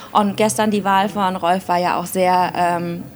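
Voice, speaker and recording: A woman with a medium pitch speaks at a moderate pace with fairly even intonation over noticeable background noise. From Germany, Aachen. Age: 30s. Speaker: politician. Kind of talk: interview.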